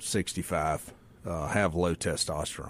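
A man's very deep, low voice in a Mississippi accent, fairly even in intonation and fairly slow, on a very clean recording with a silent background. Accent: US Southern (Mississippi). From Mississippi Delta. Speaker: medical doctor. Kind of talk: interview. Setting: radio studio.

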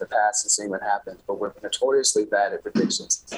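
With music in the background, a man's speech moves fairly quickly. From New Orleans, Louisiana. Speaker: economics writer. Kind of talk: remote interview.

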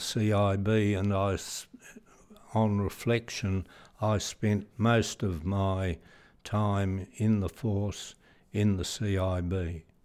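In an Australian accent, a man talks very slowly in a fairly low pitch with monotone, flat intonation. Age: 80s+. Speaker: retired police chief superintendent. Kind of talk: interview, reminiscing. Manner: halting, hesitant with fillers.

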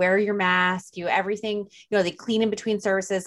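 A woman at a medium pitch with a New Jersey accent and fairly even intonation. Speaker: podcast host. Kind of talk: casual chat. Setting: video call.

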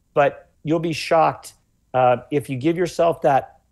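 A man with a normal speaking voice, ordinary pitch variation, at a fairly slow pace. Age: 40s. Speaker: health author. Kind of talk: interview.

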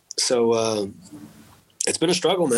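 A man with a Texan accent speaks at a moderate pace. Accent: Texan American English. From Texas. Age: 30s. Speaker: war veteran. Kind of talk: casual chat. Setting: at home.

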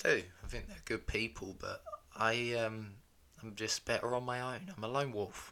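Speaking at a medium pitch and a moderate pace, a man shows ordinary pitch variation and big swings in loudness. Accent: British. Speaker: podcast co-host, husband. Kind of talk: casual chat.

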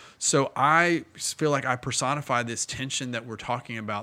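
Bright and sharp in tone, a man with an American accent speaks at a moderate pace. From Indiana. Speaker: pastor. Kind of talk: casual chat.

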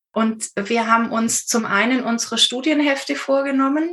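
A woman is speaking. Her pitch is fairly high, with ordinary variation. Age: 50s. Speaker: intensive care nurse and student. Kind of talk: interview.

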